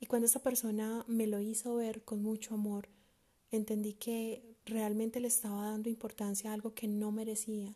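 Somewhat breathy and dark, mellow in tone, a woman's fairly high voice moves at a moderate pace in a flat monotone. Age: 20s. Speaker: podcast host. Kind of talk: solo monologue podcast.

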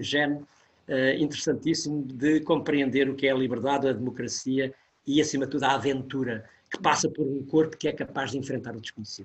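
With a somewhat breathy quality, a man delivers his words at a fairly quick clip. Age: 70s. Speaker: professor. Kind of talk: interview.

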